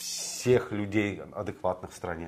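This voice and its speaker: Over a silent background in a very clean recording, a man talks very slowly at a fairly low pitch with ordinary pitch variation. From Moscow, Russia. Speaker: morning political show co-host. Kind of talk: casual political talk show.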